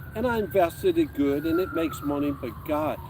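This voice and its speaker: Moderately paced male speech with noticeable background noise. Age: 60s. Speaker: retiree, outdoors YouTuber. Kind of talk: casual chat. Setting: outdoors, camping in woods.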